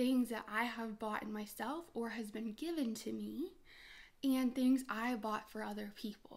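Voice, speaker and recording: A soft-spoken woman with a bubbly tone at a fairly slow pace. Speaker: beauty and lifestyle vlogger. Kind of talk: casual vlog talk to camera. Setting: home setup with ring light and tripod. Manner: soft-spoken, quiet talker; chatty, bubbly.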